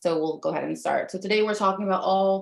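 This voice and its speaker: A woman's plain, everyday voice with an American accent, medium in pitch, with ordinary pitch variation over a quiet background. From US, Dominican American family. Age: 30s. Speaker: life coach and teacher. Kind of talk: webinar presentation. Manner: frequent filler ums.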